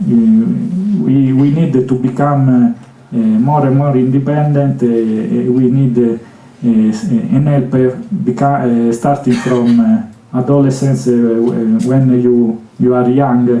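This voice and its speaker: Noticeable background noise sits behind a man's medium-pitched voice. He speaks at a very slow pace. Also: ordinary pitch variation. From Italy. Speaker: conference speaker with Asperger syndrome. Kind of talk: Q&A answer at conference. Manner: halting, many fillers and repetitions.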